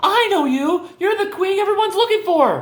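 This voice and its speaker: A put-on character voice, female-sounding and squeaky, at an extremely high pitch and a moderate pace. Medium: read story. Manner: defiant, tough.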